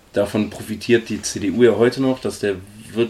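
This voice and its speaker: Here is a man with a normal speaking voice at a medium pitch. He speaks at a moderate pace with fairly even intonation. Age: 20s. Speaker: podcast co-host. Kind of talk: casual chat.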